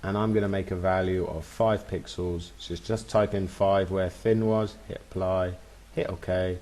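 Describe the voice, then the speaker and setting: Speaking at a fairly slow pace, a man uses a very deep, low pitch with a dark, mellow tone. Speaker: web design tutor. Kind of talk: screen-recorded software tutorial. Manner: casual and upbeat.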